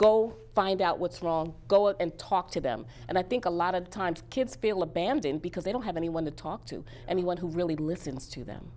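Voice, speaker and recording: A woman with a New York accent speaks at a fairly quick pace, her lively intonation threaded with vocal fry. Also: fairly low pitch for a woman. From Bronx, New York. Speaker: career coach and author. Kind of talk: interview.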